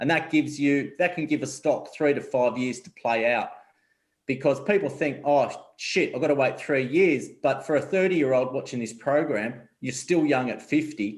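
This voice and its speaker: With an Australian accent, a man speaks at a moderate pace in a fairly high pitch with ordinary pitch variation. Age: 40s. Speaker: investment advisor. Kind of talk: interview.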